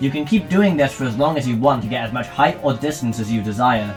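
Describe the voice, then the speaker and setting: There is music in the background. Over it, a man speaks with lively intonation. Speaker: gaming video commentator. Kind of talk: scripted gaming commentary. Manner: enthusiastic.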